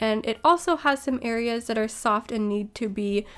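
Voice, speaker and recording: A woman's fairly high voice with ordinary pitch variation, over music in the background. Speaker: art tutorial youtuber. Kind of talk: tutorial. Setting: desk at home. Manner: fast.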